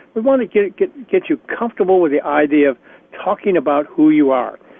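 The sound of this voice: Recorded dry and close with no echo, the voice has lively intonation, vocal fry, and a fairly quick pace. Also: man.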